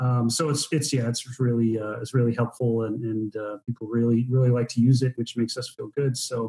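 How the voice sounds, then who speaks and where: A somewhat breathy, dark and mellow voice with an American accent, flat and monotone, at a fairly quick pace with hardly any pauses. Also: man, medium pitch for a man. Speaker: business owner, guest. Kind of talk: podcast interview. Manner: hesitant, many fillers.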